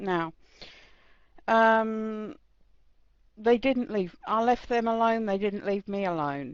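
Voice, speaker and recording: A woman with an English accent speaks at a very slow pace, with ordinary pitch variation and long, frequent pauses. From England. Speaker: chat room participant. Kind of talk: debate statement.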